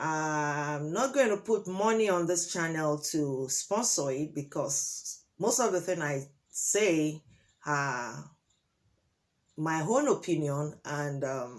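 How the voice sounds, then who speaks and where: A woman with a Nigerian accent, her pitch very deep and low, her intonation lively, at a very slow pace on a very clean recording with a silent background. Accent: Nigerian (Yoruba) English. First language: Yoruba. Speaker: relationship advice vlogger. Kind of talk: opinion monologue to camera.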